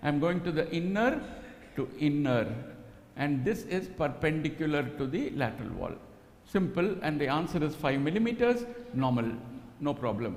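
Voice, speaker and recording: Amid audible room echo, a man with a fairly high voice speaks at a moderate pace with lively intonation. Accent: Telugu. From Karnataka, India. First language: Telugu. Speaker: ultrasound / fetal medicine teacher. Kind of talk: live teaching demonstration. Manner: animated.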